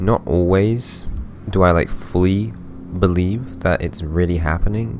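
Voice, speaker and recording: Over noticeable background noise and audible room echo, a man speaks with a very deep, low voice and lively intonation. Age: 20s. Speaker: dream diary vlogger. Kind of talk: casual monologue. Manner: halting; soft-spoken.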